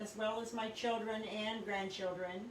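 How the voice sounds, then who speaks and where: There is audible room echo and noticeable background noise as a woman speaks at a fairly slow pace. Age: 60s. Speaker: psychic reader. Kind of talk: live stream introduction talk. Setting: home recording studio, live broadcast. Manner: hesitant, many fillers.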